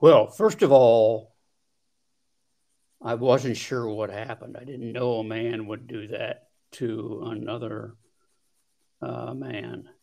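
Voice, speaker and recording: Very slowly, with long, frequent pauses and big swings in loudness, a man speaks in a US Midwestern accent. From Ohio, US Midwest. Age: 70s. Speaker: trauma survivor. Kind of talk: interview testimony. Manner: halting.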